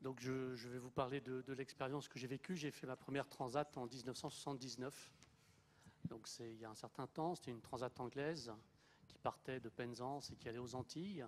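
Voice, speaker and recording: A plain, everyday voice moves at a moderate pace. The intonation stays fairly even. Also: man, medium pitch for a man. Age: 60s. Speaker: retired sailing skipper. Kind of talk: panel testimony.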